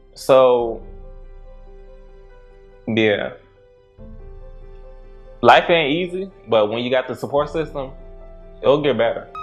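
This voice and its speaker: With music in the background, a man at medium pitch speaks at a very slow pace with ordinary pitch variation. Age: 20s. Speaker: crime victim sharing his story in a docuseries. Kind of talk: casual talk to camera, reflective personal story.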